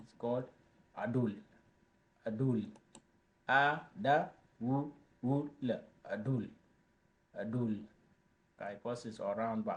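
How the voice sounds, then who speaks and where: A man at medium pitch with a South Sudanese accent, ordinary pitch variation, big swings in loudness, a fairly slow pace and long, frequent pauses. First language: Dinka. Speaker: language teacher. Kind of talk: tutorial. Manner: slow, repetitive.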